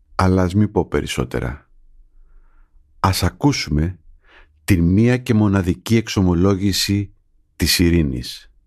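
The speech moves at a fairly slow pace with lively intonation and long, frequent pauses. Loudness stays very even over a quiet background. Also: man, very deep, low pitch for a man. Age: middle-aged. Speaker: journalist, podcast host. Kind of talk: scripted narration.

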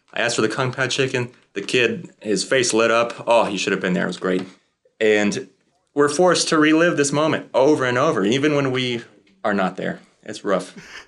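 A man with a normal speaking voice, lively intonation and a moderate pace. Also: medium pitch for a man. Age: 20s. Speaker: son bringing a family complaint. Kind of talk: casual testimony.

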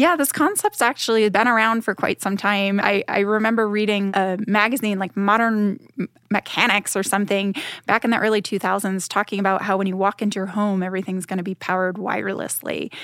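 On a very clean recording with a silent background and a dry, close sound with no echo, a woman with an unremarkable speaking voice talks at a medium pitch and a fairly quick pace with fairly even intonation. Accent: American. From Boston, Massachusetts. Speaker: aerospace program director. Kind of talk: interview. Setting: studio.

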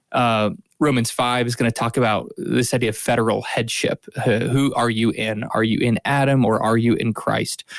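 This is a man with a normal speaking voice and medium pitch. He keeps a moderate pace with hardly any pauses, his loudness very even. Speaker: podcast co-host. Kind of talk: casual chat and Bible discussion.

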